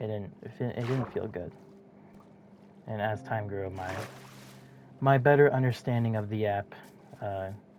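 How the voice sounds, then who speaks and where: The pace is moderate, broken by long, frequent pauses. Noticeable background noise runs underneath. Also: man, fairly low pitch for a man. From Minnesota. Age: young. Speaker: gamer and video editor. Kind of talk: casual monologue while gaming. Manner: halting, stuttering.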